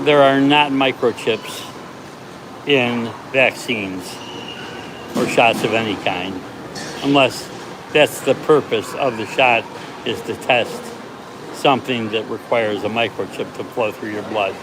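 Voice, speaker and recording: Speaking fairly slowly with long, frequent pauses, a man with an American accent talks at a medium pitch. Noticeable background noise runs underneath. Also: ordinary pitch variation. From United States. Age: 70s. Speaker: part-time delivery driver. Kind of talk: casual livestream talk to camera.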